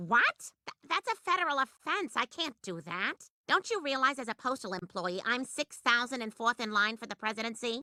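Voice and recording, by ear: In a cartoonish character voice, a woman talks high and at a moderate pace with very wide pitch swings and hardly any pauses, the sound dry and close with no echo.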